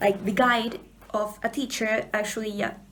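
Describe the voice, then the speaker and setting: A woman speaks with a Spanish accent. Her pitch sits fairly high. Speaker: book vlogger. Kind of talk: casual vlog. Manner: halting, repeats words.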